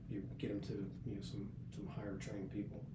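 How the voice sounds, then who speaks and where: Noticeable background noise and audible room echo surround a man who talks fairly quickly with an American accent. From US, north central West Virginia. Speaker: senior Navy enlisted leader. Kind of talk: podcast interview. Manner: casual, with many hesitations and repeats.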